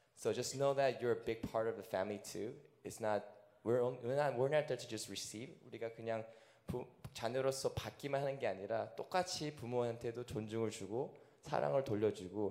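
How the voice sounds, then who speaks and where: At a moderate pace and medium pitch, a man speaks in a plain, everyday voice with ordinary pitch variation. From Korea, raised in China, US and Russia. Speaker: elementary school teacher. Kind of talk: panel interview in church. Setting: church service.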